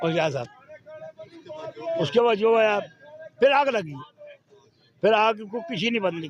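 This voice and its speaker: A man with a high pitch makes very wide pitch swings and big swings in loudness. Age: 70s. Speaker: street vegetable seller. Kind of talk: street interview answer.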